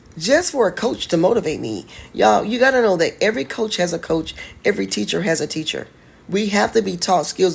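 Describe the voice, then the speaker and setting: Animated in tone, a woman talks at a fairly quick pace with vocal fry. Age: 40s. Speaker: online business coach. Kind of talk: livestream talk. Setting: live stream.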